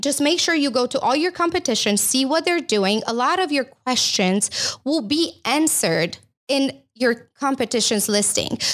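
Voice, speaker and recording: With very wide pitch swings and a slight Romanian accent, the speaker sounds enthusiastic at a fairly slow pace. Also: woman. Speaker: company CEO. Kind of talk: casual interview. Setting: studio. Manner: enthusiastic, laughs often.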